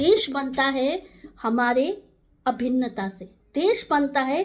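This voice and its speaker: The speaker has a Nepali accent. The intonation is lively. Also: woman. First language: Nepali (speaking Hindi). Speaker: community advocate. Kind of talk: direct-to-camera talk.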